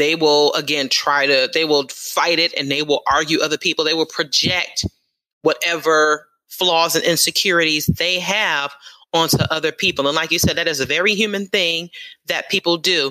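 The voice has a bright, sharp tone, an American accent and very even loudness. It moves at a moderate pace with fairly even intonation. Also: woman, fairly low pitch for a woman. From New York City. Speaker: atheist organization leader. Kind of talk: interview.

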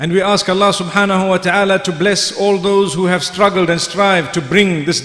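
The intonation stays fairly even, and audible room echo surrounds the voice. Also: man. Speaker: speaker. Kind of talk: sermon. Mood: calm, measured. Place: church.

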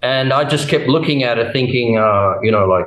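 With an Australian accent, a man of medium pitch talks at a fairly quick pace with ordinary pitch variation, his voice carrying audible room echo over a quiet background. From Australia, Brisbane in Queensland. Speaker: testimony guest; guest. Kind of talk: testimony. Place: home room. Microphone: webcam.

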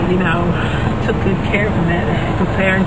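A man at a moderate pace, dry sound with no echo, loud background noise behind. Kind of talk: casual conversation. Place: car. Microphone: phone near.

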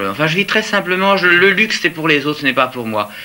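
A man speaks. His pitch swings very widely. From Italy. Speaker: fashion designer; interviewee. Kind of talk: interview answer. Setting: archive TV interview at home. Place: home room.

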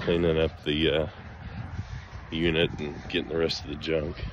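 There is light background noise. A man talks at a moderate pace. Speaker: homestead vlogger. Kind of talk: casual vlog narration. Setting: outdoors. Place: open country. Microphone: phone near.

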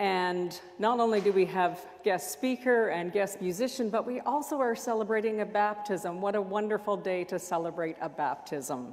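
A woman speaks at a moderate pace. Her intonation is lively. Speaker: minister leading worship. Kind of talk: worship welcome and announcements. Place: church.

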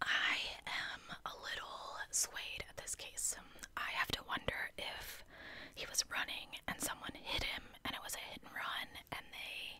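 A soft-spoken woman whispers at a fairly slow pace, her loudness swinging widely. Light background noise sits underneath. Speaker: true crime storyteller. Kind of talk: true crime narration reading quotes. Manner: soft close-mic whisper. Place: home room. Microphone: studio mic.

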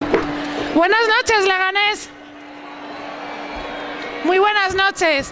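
Over music in the background, a woman uses a raised, projected voice at an extremely high pitch with ordinary pitch variation, speaking at a very slow pace with long, frequent pauses. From Spain. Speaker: town councillor for festivities. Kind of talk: public speech from a town hall balcony. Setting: outdoors, PA system. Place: street. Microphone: podium.

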